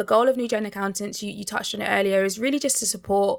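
A woman with a London accent in a very clean recording with a silent background. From England (Barnet, north London), Nigerian heritage. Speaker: accountant, co-founder of a non-profit. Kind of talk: interview.

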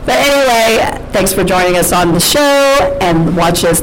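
Noticeable background noise sits behind a woman speaking at a moderate pace with lively intonation. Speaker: podcast host, comedian. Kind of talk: casual chat. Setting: studio with co-hosts, live audience. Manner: rambling, halting.

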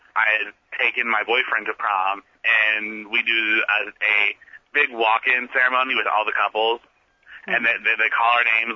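In an American accent, the speaker moves at a fairly quick pace with a monotone, flat intonation. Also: man. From US Midwest, rural southern Ohio. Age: 20s. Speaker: student activist. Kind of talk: interview. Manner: halting, many fillers.

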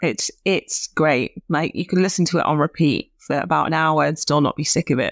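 In a Lancashire accent, a woman with a fairly low pitch and fairly even intonation speaks on a very clean recording with a silent background, the sound dry and close with no echo. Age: 30s. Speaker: podcast co-host. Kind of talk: casual chat.

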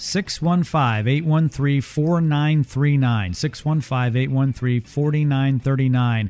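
With music playing in the background, the voice runs on with hardly any pauses, very even loudness, and ordinary pitch variation. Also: man, fairly high pitch for a man. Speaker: radio host. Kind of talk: infomercial pitchman. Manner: fast-paced hard-sell pitchman, urgent, repeating phone number and deadline; upbeat, enthusiastic.

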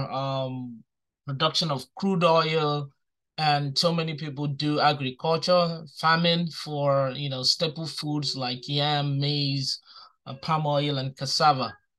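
A bright, sharp tone at a very slow pace with fairly even intonation against a quiet background. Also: man. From southeastern Nigeria. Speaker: restaurant owner. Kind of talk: interview. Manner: hesitant, many fillers.

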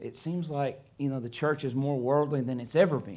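This man has a dark, mellow tone and a fairly high pitch, speaking in an American accent. His pace is fairly quick, with ordinary pitch variation. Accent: noticeable accent, self-remarked. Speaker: missionary preacher. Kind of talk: sermon. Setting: church.

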